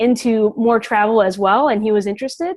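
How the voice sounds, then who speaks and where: In an ordinary speaking voice, a woman talks at a fairly quick pace with a fairly high pitch and fairly even intonation. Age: 20s. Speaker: house sitter. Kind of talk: panel interview.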